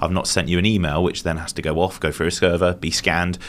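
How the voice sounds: The man's pitch is low, with little pitch movement. He talks at a fast pace.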